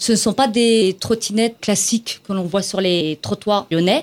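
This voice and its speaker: A woman talks in a plain, everyday voice at a medium pitch. Her pitch varies in an ordinary way. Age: 40s. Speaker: small business owner. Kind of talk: interview.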